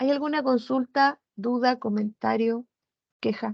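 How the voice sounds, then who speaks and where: A woman speaks with a high pitch and lively intonation. Her pace is fairly slow, and the background is quiet. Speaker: virtual education coordinator; instructor giving a platform training. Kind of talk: online training session. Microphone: video call.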